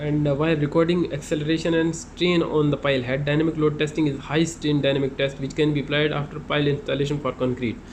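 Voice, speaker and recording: A man's fairly high-pitched voice, flat and monotone, at a very fast pace with hardly any pauses. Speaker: construction inspector explaining site work. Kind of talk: tutorial. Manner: halting, many fillers.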